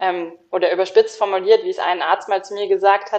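A woman speaks at a moderate pace in an ordinary speaking voice, her medium pitch showing ordinary pitch variation. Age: 30s. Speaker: lawyer sharing burnout experience. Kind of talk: interview testimony.

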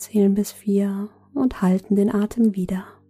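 A woman speaks at medium pitch and a fairly slow pace, somewhat breathy. Her tone is dark, mellow, calm and soothing. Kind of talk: guided meditation. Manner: slow, soft-spoken, calm and soothing with long pauses.

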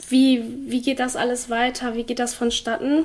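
Intonation stays fairly even as the speech proceeds at a moderate pace. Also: woman. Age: 20s. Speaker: trainee in hospital administration with HAE. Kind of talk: interview testimony.

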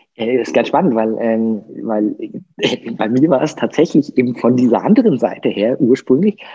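A man's dark, mellow tone at a medium pitch, moderate pace, and lively intonation. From southern Germany, Lake Constance. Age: 50s. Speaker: coach. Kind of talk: interview.

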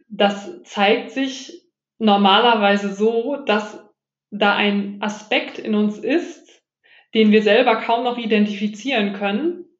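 Spoken at a very slow pace, the voice shows ordinary pitch variation. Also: woman. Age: 30s. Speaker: animal communicator. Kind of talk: interview.

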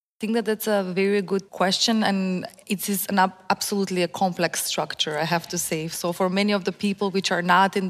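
Her intonation monotone and flat, a woman speaks at a fairly quick pace. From North Macedonia. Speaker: higher education quality assurance officer. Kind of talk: panel discussion.

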